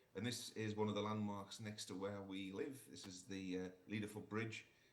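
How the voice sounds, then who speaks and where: Fairly low male voice, monotone and flat, at a moderate pace with audible room echo. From northern England, Sunderland. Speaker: orthopaedic surgeon. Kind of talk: conference talk. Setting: remote presentation to conference. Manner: halting, many fillers.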